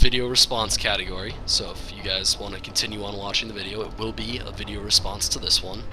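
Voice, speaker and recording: Fairly quick speech from a man, set against noticeable background noise. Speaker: game commentator. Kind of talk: video game shoutcast commentary.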